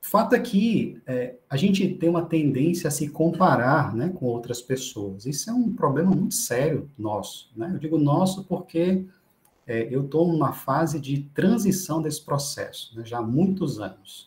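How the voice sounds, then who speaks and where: A man with a Brazilian accent and a fairly high pitch speaks at a fairly slow pace, his pitch swinging very widely. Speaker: medical professor. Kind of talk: lecture. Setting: online class. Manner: halting.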